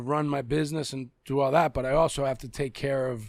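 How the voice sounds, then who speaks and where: With a Boston accent, a man speaks at a fairly quick pace and a fairly high pitch. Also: very clean recording, silent background. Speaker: rapper and actor. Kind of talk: casual chat. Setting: studio.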